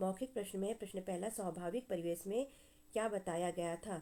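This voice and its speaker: Her voice is a woman's medium-pitched one with a dark, mellow tone. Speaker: school teacher. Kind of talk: tutorial. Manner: slow, instructive.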